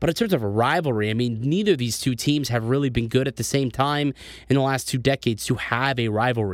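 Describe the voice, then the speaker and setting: Talking at a fairly quick pace, a man with an ordinary speaking voice keeps a medium pitch and ordinary pitch variation. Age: 20s. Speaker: sports podcast host. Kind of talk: casual sports commentary.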